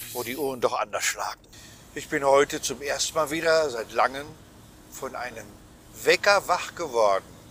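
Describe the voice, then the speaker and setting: A man speaks at a moderate pace with a fairly high pitch and a bright, sharp tone. His pitch varies in an ordinary way, and he leaves long, frequent pauses. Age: 60s. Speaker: cabaret artist and podcast host. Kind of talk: casual chat. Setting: travelling, on the way to an exhibition.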